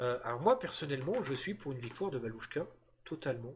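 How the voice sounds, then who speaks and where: A man's voice, somewhat breathy, its pitch swinging very widely. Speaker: streamer and video game wrestling commentator. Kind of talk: live commentary. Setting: live stream. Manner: animated.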